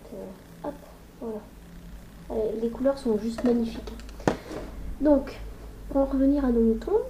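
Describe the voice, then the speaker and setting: Against noticeable background noise, a woman talks at a fairly slow pace with long, frequent pauses and ordinary pitch variation. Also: fairly high pitch for a woman. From northern France. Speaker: makeup youtuber. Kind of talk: tutorial. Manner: casual, chatty.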